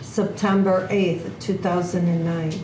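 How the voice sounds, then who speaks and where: A woman speaks at a medium pitch in a flat, monotone way, with noticeable background noise and audible echo in the room. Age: 60s. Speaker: army veteran, bereaved mother. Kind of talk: testimony. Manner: formal.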